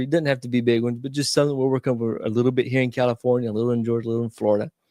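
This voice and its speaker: With a Southern US accent, a man speaks at a medium pitch in a dry, close sound with no echo. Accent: Southern American. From US South. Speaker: real estate investor. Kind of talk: interview. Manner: halting.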